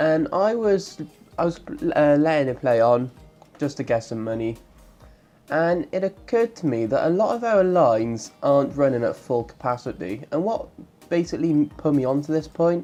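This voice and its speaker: Music plays in the background as the speech proceeds at a moderate pace. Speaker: gaming YouTuber. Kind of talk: let's play game commentary. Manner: casual, chatty.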